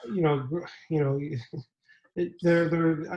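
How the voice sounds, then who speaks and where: Talking at a very fast pace, a man keeps his intonation fairly even. His voice is somewhat breathy. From Canada. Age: 30s. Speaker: graphic designer. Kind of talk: casual chat.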